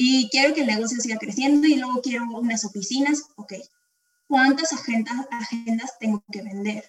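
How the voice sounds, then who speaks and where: Loudness swings widely as a woman with a high pitch speaks at a moderate pace with ordinary pitch variation. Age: 20s. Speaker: insurance advisor. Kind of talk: casual interview. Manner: halting, with frequent repetitions.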